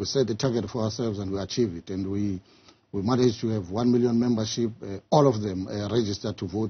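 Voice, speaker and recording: The voice is somewhat breathy and moves at a fairly quick pace. Its intonation is fairly even. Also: man. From South Africa. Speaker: political party official; interviewee. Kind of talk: tv news interview. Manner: halting, repeats words. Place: studio.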